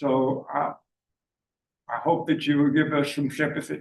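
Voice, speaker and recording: A man with a Charleston Lowcountry accent speaks at a fairly high pitch. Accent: Charleston Lowcountry Southern. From US South, Charleston, South Carolina. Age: 80s+. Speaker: homeowner applicant. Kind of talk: public hearing testimony. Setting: public meeting room.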